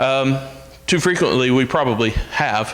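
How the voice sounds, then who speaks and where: There is audible room echo and noticeable background noise as a man with a fairly high pitch speaks with lively intonation. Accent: Alabama. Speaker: minister. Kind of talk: sermon. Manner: loud.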